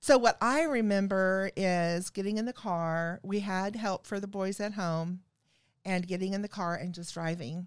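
The recording is very clean, with a silent background, and a woman speaks at a moderate pace in a medium pitch. Hers is a normal speaking voice with ordinary pitch variation. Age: 50s. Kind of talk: casual chat.

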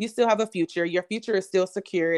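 Recorded dry and close with no echo, a woman of medium pitch speaks at a very fast pace with fairly even intonation. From Kentucky. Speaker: preacher and confidence coach. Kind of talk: casual chat; prayer.

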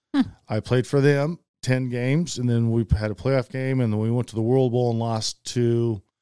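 A man talks at a moderate pace with a medium pitch and fairly even intonation. It is an ordinary speaking voice. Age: 50s. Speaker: former pro football punter. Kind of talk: casual chat.

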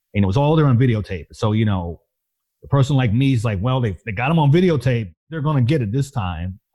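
A man speaks at a very fast pace, his pitch medium, his intonation lively. His tone is dark and mellow, and somewhat breathy. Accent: American. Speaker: nonprofit communications executive. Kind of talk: personal testimony.

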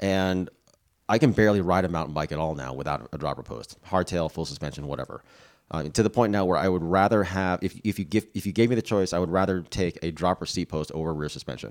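A man talks at a very fast pace in a very deep, low pitch with vocal fry and ordinary pitch variation. The recording is very clean, with a silent background. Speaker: cycling podcast host. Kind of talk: casual banter, tech discussion. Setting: on location in Sedona.

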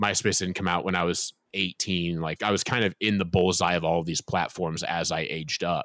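Very deep and low, a man's voice with an American accent moves at a fairly quick pace with hardly any pauses and fairly even intonation, the sound dry and close with no echo. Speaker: author. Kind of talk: interview.

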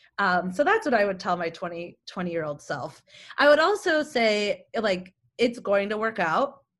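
In an American accent, a woman speaks with an enthusiastic tone at a moderate pace and a medium pitch. Her pitch swings very widely. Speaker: communications executive. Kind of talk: interview.

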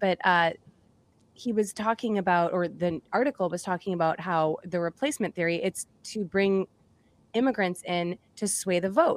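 This woman has an unremarkable speaking voice with an American accent, a medium pitch and ordinary pitch variation. She talks at a moderate pace, and the sound is dry and close with no echo. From Massachusetts. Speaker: podcast co-host. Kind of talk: casual chat.

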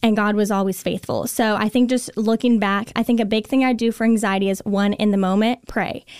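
A woman speaks with hardly any pauses at a fairly high pitch. Her loudness stays very even. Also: fairly quick pace, very clean recording, silent background. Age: 20s. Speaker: lifestyle blogger and entrepreneur. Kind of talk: casual chat. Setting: studio. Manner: animated.

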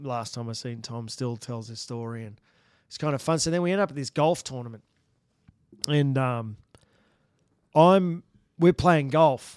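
Someone speaks with an Australian accent on a very clean recording with a silent background. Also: man. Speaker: former bull rider and cow horse trainer. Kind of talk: casual chat, storytelling. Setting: studio.

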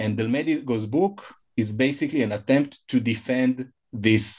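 A man with an Israeli accent at a fairly slow pace. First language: Hebrew. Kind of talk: interview about a book. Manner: halting, hesitant, with frequent fillers.

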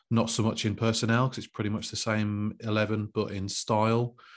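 A man talking at a very fast pace, on a very clean recording with a silent background. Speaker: football writer. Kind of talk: casual chat. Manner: hesitant, repeats words.

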